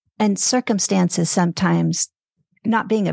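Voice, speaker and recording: A woman speaks at a moderate pace in a fairly low, somewhat breathy voice. The sound is dry and close with no echo, and the background is quiet. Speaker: podcast host. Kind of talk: casual interview conversation.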